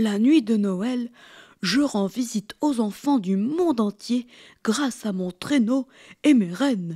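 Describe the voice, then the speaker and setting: A female-sounding voice in a put-on character voice speaks at a fairly high pitch and a fairly slow pace, with long, frequent pauses. The recording is very clean, with a silent background. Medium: read story. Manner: warm, jovial.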